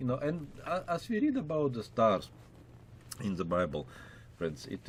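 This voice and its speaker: The speaker is a man. He talks with a Russian accent. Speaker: pastor and Bible teacher. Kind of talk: Bible lecture. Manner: many filler words, hesitant.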